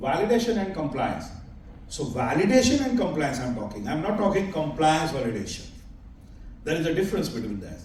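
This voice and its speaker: A man speaks with an Indian accent, his pitch swinging very widely. There is noticeable background noise and audible room echo. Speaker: conference speaker, company chairman. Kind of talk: conference presentation. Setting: stage at an expo conference. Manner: halting, self-correcting.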